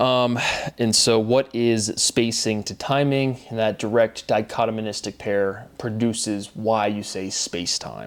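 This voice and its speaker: With a plain, everyday voice, a man speaks at a fairly slow pace with medium pitch and fairly even intonation on a very clean recording with a silent background. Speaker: independent theorist sharing his own work. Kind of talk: solo monologue. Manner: rambling with many fillers.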